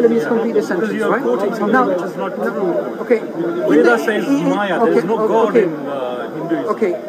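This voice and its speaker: Crowd noise fills the background as a man with a high pitch talks at a fairly quick pace, his pitch swinging very widely. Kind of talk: street preaching, explaining religion to a passerby. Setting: outdoors at a public speaking spot.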